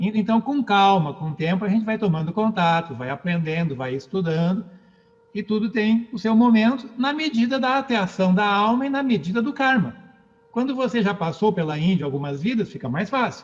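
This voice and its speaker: A man's high voice, lively in intonation, at a moderate pace. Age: 60s. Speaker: philosophy lecturer. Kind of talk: lecture. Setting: book launch event.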